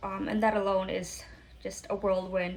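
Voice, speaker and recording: A woman with an American accent talks at a moderate pace in a somewhat breathy voice. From Florida, US. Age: 30s. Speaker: vlogger and small business owner, military veteran. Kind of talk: casual vlog introduction. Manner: casual, conversational with fillers.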